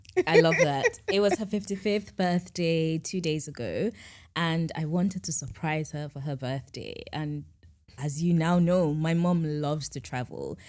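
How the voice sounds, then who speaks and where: Here is an ordinary speaking voice at a fairly slow pace with ordinary pitch variation. The recording is very clean, with a silent background. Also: woman, fairly low pitch for a woman. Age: 20s. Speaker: podcast host. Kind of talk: casual chat.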